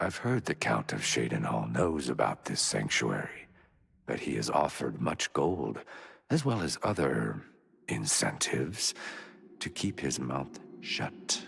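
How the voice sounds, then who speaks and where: At a fairly slow pace, a man delivers a put-on character voice with a very deep, low pitch. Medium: video game. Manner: measured, solemn.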